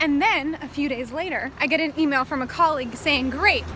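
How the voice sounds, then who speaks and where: Over noticeable background noise, a woman with a high pitch speaks at a moderate pace in a raised, projected voice with an animated tone. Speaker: travel vlogger. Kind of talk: vlog narration. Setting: outdoors on a busy road. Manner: loud.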